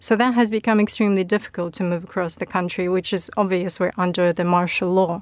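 In a Ukrainian accent, the speaker talks at a very fast pace with fairly even intonation. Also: woman, medium pitch for a woman, hardly any pauses. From Ukraine. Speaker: political consultant, former regional MP. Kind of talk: panel discussion. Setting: studio.

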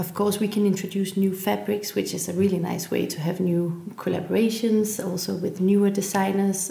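Over noticeable background noise, a woman talks at a moderate pace with hardly any pauses, her medium pitch held in a monotone, flat intonation. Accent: Danish. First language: Danish. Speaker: furniture company heir. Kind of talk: interview.

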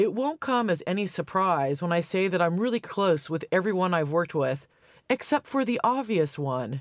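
In an American accent, a woman speaks at medium pitch with very wide pitch swings. Her moderate pace comes through a very clean recording with a silent background. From US West Coast, California. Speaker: author and popular music professor. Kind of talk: casual chat. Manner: animated.

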